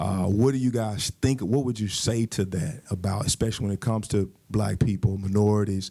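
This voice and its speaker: In a very clean recording with a silent background, a man with a fairly low pitch and a dark, mellow tone talks at a fairly quick pace with fairly even intonation and hardly any pauses. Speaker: audience member. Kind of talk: audience question. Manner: loud.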